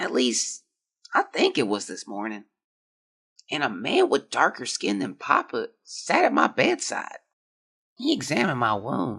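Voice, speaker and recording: A raspy, put-on character voice speaks at a moderate pace. Long, frequent pauses break up the delivery. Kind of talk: audio drama diary reading. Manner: weak, tired.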